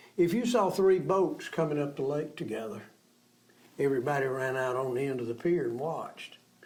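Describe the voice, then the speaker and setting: A man with an Alabama accent, fairly high in pitch, with lively intonation, a fairly quick pace and audible room echo. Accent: Southern US (Alabama). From US South. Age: 80s+. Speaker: local businessman and community elder. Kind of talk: interview, reminiscing.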